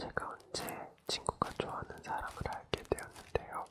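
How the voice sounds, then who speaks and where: A whisper at a fairly slow pace, with noticeable background noise. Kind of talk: reading a listener's letter aloud. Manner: whispered, soft-spoken.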